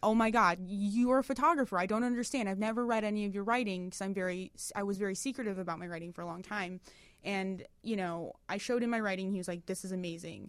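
Talking at a very fast pace, a woman with an American accent keeps a medium pitch. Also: ordinary pitch variation. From Detroit, Michigan. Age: 30s. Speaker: web series writer and creator. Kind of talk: casual interview.

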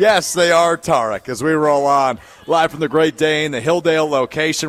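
In a dry, close sound with no echo, a man with an unremarkable speaking voice talks at a fairly quick pace and a fairly high pitch. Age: 20s. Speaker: sports radio host. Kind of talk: live sports talk radio. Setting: live broadcast from a pub.

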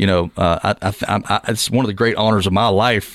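A man with an ordinary speaking voice and fairly low pitch talks at a fairly quick pace, his intonation fairly even. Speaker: podcast host, realtor and musician. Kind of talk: casual chat. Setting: studio.

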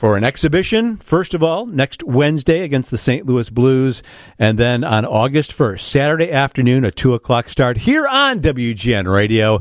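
This man has an unremarkable speaking voice at a medium pitch, with lively intonation. He keeps a moderate pace with hardly any pauses, and the recording is very clean with a silent background. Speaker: radio host. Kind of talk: podcast hosting with intro.

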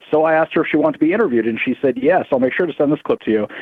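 Very fast speech from a man with an American accent. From US South. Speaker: caller. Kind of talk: call-in. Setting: phone call.

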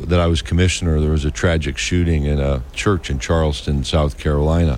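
Noticeable background noise runs under this recording. A man speaks at a very deep, low pitch with ordinary pitch variation. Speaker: college sports administrator. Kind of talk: press conference. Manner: halting.

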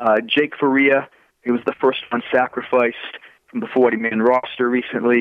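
A man's medium-pitched voice with a Massachusetts accent, at a moderate pace. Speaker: baseball prospect analyst. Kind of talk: casual chat.

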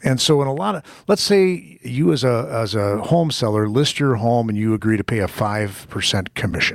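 A man's unremarkable speaking voice at a medium pitch and moderate pace, lively in intonation, with hardly any pauses. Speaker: radio host. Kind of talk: radio host patter. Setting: radio studio. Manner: chatty, lively, banter-heavy.

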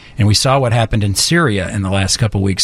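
Somewhat breathy, a man talks at a very fast pace with a fairly low pitch and ordinary pitch variation. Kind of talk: casual radio chat.

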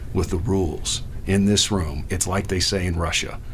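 A man's very deep, low voice with fairly even intonation over noticeable background noise. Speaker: former college football player and coach. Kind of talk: casual sports talk.

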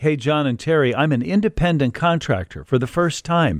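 At a moderate pace, a man speaks in a plain, everyday voice with ordinary pitch variation, on a very clean recording with a silent background and a dry, close sound with no echo. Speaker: radio host. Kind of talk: radio talk show. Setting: radio studio.

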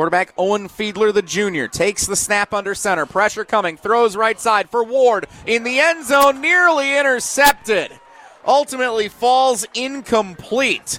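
Against noticeable background noise, a man with a high pitch and an American accent uses a raised, projected voice at a moderate pace with lively intonation, the sound dry and close with no echo. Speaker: high school football play-by-play announcer. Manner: conversational and explanatory between plays, setting up situations.

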